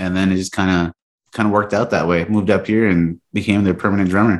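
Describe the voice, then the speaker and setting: A man with an American accent speaks in an ordinary speaking voice at a fairly low pitch. His intonation is fairly even, on a very clean recording with a silent background. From Texas, Mexican border area. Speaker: band drummer. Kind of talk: casual chat.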